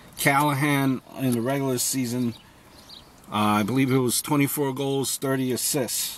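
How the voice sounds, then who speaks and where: Over noticeable background noise, a man talks at a moderate pace in a medium-pitched voice. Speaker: sports commentator. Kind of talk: solo sports preview monologue. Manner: halting, many fillers; off the cuff, unscripted.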